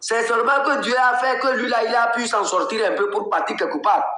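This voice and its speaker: A man speaks at a moderate pace in a raised, projected voice with extremely high pitch. Audible room echo surrounds the recording. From Togo, Kabye. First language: Kabye (speaking French). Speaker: political activist and blogger. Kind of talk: live political commentary. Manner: animated.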